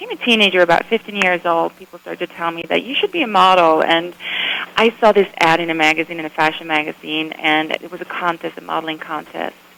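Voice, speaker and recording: Over noticeable background noise, a woman with a fairly low voice talks at a very fast pace, with big swings in loudness. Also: fairly even intonation. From Sweden. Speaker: photographer and former model. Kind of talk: radio interview.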